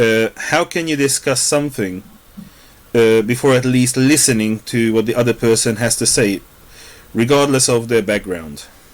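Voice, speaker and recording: With a Hungarian accent, a man speaks at a moderate pace and medium pitch, using ordinary pitch variation. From Hungary. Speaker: podcast host. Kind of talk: discussion monologue.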